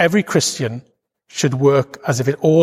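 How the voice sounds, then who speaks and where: Somewhat breathy, a man speaks with a Welsh accent and ordinary pitch variation in a dry, close sound with no echo. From Wales. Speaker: preacher. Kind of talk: sermon. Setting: church.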